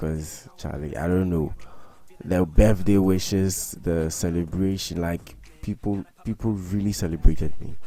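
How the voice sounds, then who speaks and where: With ordinary pitch variation, a man speaks in a very deep, low pitch. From Ghana. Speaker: graphic design YouTuber. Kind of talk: tutorial. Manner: casual, hesitant with fillers.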